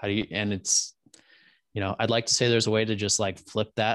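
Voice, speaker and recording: With an American accent, a man speaks at a moderate pace in an unremarkable speaking voice, fairly low in pitch and fairly even in intonation, with a dry, close sound, no echo, and a quiet background. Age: 20s. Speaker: podcaster. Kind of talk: casual interview chat.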